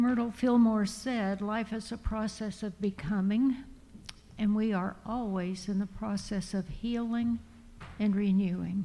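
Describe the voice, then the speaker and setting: Somewhat breathy and dark, mellow in tone, a woman speaks fairly slowly with fairly even intonation. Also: medium pitch for a woman. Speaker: minister giving a sermon. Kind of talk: church sermon / spiritual talk. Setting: church congregation.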